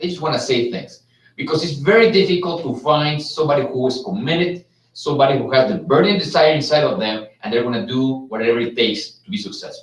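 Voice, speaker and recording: Speaking at a very fast pace, a man with a Mexican accent sounds somewhat breathy, with lively intonation. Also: fairly high pitch for a man. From Mexico. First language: Spanish. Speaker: business executive. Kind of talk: live webcast presentation. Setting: live stream from Las Vegas.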